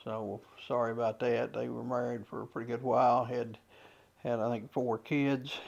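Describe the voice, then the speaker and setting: Speaking with an Appalachian accent, a man keeps a monotone, flat intonation. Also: medium pitch for a man, moderate pace. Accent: Clay County (Kentucky) Appalachian. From Clay County, Kentucky. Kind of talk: casual talk to camera. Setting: outdoors, windy. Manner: hesitant, many fillers.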